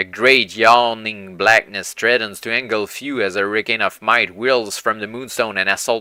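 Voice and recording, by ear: A natural voice reading aloud.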